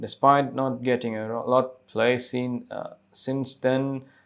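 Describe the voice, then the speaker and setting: The intonation stays monotone and flat, delivered with a non-native accent. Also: man. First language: not English. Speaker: YouTube commentator. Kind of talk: news commentary, reading an article aloud. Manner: halting, stumbles over words while reading.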